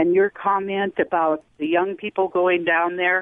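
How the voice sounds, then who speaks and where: A woman with an unremarkable speaking voice talks at a fairly slow pace. Her pitch is medium and her intonation fairly even. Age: 60s. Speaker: caller, retiree. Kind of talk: call-in comment.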